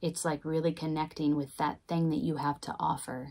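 A woman with a very deep, low pitch speaks at a moderate pace with fairly even intonation. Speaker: tarot reader. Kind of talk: tarot reading. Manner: casual. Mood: calm, warm, mystical. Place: home room.

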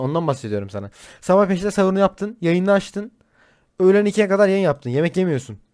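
On a very clean recording with a silent background, a man with a high pitch speaks at a fairly quick pace with lively intonation. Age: 30s. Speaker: streamer. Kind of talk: casual chat.

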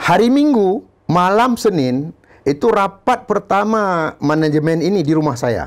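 Over a quiet background, the voice moves at a fairly slow pace with very even loudness and very wide pitch swings. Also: man, high pitch for a man. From Aceh, Indonesia. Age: 50s. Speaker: former football club manager; guest. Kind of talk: interview. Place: studio. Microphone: lapel.

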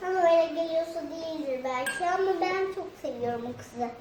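Over clear background noise and a slight echo, a female-sounding voice does a put-on character at an extremely high pitch and a moderate pace. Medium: comedy sketch.

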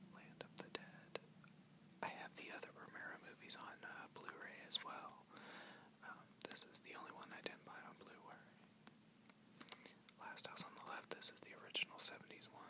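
The speaker whispers, leaving long, frequent pauses. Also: moderate pace. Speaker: collector showing DVDs. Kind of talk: ASMR soft-spoken talk with page turning. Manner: soft-spoken, whispered. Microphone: phone near.

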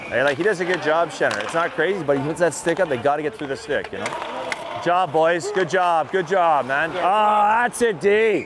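The pace is moderate, with ordinary pitch variation. The sound is dry with no echo, though there is noticeable background noise. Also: man. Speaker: hockey assistant coach. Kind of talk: coaching instructions on ice. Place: stadium. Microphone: lapel.

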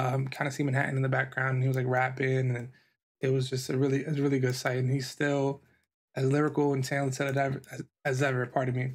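Against a quiet background, a somewhat breathy man talks at a very fast pace in a monotone, flat intonation. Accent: American. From New York. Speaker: podcast host and designer; podcast host. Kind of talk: solo podcast monologue. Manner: casual with many filler words. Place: home room.

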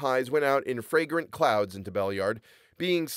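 Someone is reading aloud in a natural voice. Lively intonation shapes the lines.

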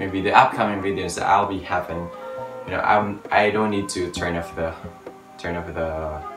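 A man's very deep, low voice with fairly even intonation, set against clear music in the background. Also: moderate pace. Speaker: gadget vlogger. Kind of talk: casual unboxing vlog chat. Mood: cheerful, curious. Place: home room. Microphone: phone near.

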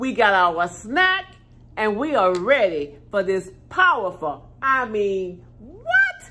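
Speaking at a very slow pace, a woman uses a raised, projected voice. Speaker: haul vlogger. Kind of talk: casual vlog chat. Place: home room. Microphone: phone near.

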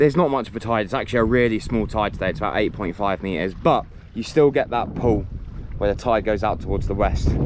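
A man's fairly low voice with ordinary pitch variation at a fairly quick pace, dry sound with no echo, and noticeable background noise. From Channel Islands. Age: 30s. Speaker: spearfishing vlogger; fishing vlogger. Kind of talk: casual vlog narration. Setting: outdoors. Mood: relaxed. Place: beach. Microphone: phone near.

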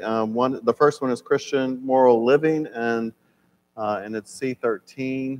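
A man speaks at a very slow pace. His pitch variation is ordinary. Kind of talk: lecture. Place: church. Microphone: lapel.

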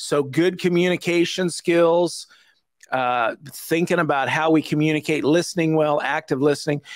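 A man's fairly high-pitched voice with fairly even intonation at a moderate pace

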